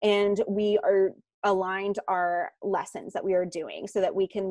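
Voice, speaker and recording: A woman talks in a normal speaking voice at medium pitch and a fairly slow pace. The sound is dry and close, with no echo. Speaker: nonprofit program manager. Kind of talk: presentation.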